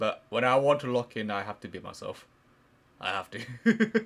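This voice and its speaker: A plain, everyday voice from a man, medium-pitched with lively intonation, on a very clean recording with a silent background. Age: 20s. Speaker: podcast co-host. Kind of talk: casual chat.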